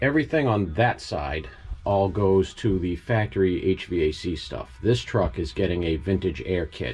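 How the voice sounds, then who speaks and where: A man with a New England accent and a fairly low pitch makes very wide pitch swings, with music in the background. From New England, US. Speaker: DIY car builder vlogger. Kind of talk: casual vlog narration. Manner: casual, thinking aloud.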